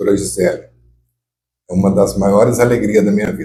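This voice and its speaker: The voice has a dark, mellow tone, is somewhat breathy, and keeps a moderate pace. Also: man. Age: 60s. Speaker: former mayor and radio reporter. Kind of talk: life story interview. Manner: casual, halting with repetitions.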